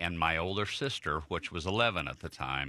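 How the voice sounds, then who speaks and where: A man with an American accent has a very deep, low pitch, a bright, sharp tone and vocal fry. The recording is very clean, with a silent background. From Chicago, US Midwest. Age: 50s. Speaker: motivational speaker. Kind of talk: radio interview. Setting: radio studio.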